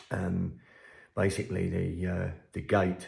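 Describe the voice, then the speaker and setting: A quiet man with an English accent speaks at a fairly slow pace in a very deep, low voice that is dark, mellow and somewhat breathy, his intonation flat and monotone. The recording is very clean, with a silent background. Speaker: fishery owner. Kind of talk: vlog to camera. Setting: at home, early morning. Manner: hesitant, many ums.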